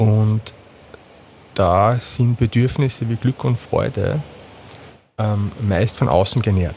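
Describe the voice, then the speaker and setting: Somewhat breathy and dark, mellow in tone, the voice moves at a very slow pace with long, frequent pauses, very even loudness, and ordinary pitch variation. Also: man, fairly low pitch for a man. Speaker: psychotherapist, former media sales manager. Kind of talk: interview conversation.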